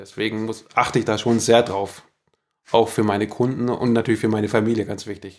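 Fairly quick, monotone, flat-sounding speech from a man. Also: medium pitch for a man, big swings in loudness. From Allgäu, Bavaria. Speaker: master carpenter, former soldier. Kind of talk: casual interview. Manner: hesitant, many fillers.

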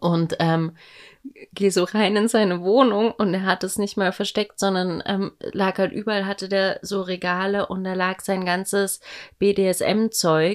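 On a very clean recording with a silent background, a woman talks at a fairly slow pace with monotone, flat intonation. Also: medium pitch for a woman. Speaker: podcast co-host, mother. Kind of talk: casual chat.

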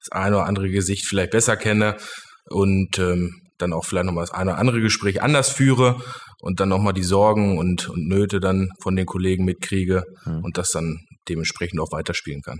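This is an ordinary speaking voice at a moderate pace. Its intonation stays fairly even. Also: man. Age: 30s. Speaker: company managing director. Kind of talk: interview. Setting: studio.

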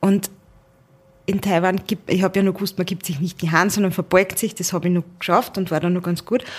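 A woman's somewhat breathy, medium-pitched voice at a fairly quick pace, with fairly even intonation. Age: 30s. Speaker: managing director. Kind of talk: interview.

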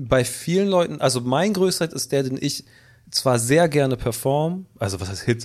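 Lively intonation and a moderate pace in a normal speaking voice. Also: man, medium pitch for a man. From Hamburg. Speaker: singer-songwriter and producer. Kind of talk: casual chat.

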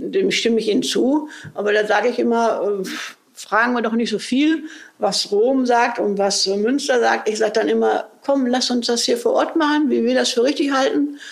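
A woman with a high pitch speaks at a moderate pace, with ordinary pitch variation and very even loudness. Noticeable background noise and audible room echo surround her voice. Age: 70s. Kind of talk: interview conversation.

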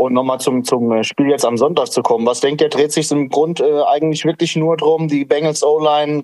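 This man talks at a moderate pace in an ordinary speaking voice, his intonation fairly even. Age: 40s. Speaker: listener calling in. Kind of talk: casual chat. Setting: online audio call.

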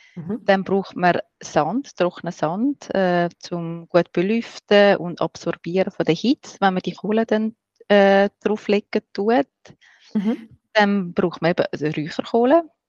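With a Swiss accent, a woman speaks at a very slow pace and medium pitch, her pitch varying in an ordinary way, in a dry, close sound with no echo. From Switzerland, rural farm. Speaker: smudging expert and breath therapist. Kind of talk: interview.

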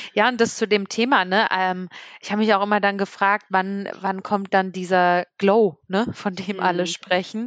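A woman talks at a moderate pace and medium pitch with monotone, flat intonation. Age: 30s. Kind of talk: casual chat.

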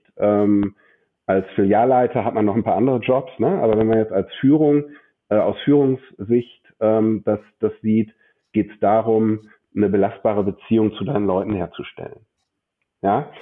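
In a fairly low pitch, a man speaks at a moderate pace with ordinary pitch variation. He takes long, frequent pauses. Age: 40s. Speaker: bank branch manager and business coach. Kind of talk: interview.

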